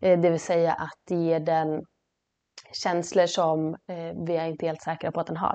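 Against a quiet background, a woman speaks in a dark, mellow tone with monotone, flat intonation. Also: fairly low pitch for a woman, moderate pace. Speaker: podcast co-host, horse trainer. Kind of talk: casual chat.

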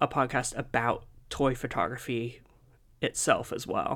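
A man with a bright, sharp tone and vocal fry is heard on a very clean recording with a silent background. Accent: American. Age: 20s. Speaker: podcast host and toy photographer. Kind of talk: casual chat.

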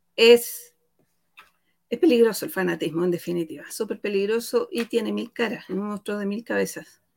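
Here a woman speaks in a plain, everyday voice at medium pitch. Her intonation is lively and her pace moderate. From Chile, rural Santiago (Talagante). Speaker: guest presenter on ex-member podcast. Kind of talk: video call discussion.

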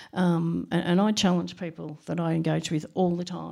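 The voice comes with an Australian accent on a very clean recording with a silent background. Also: woman. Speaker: HR practitioner. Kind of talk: panel discussion.

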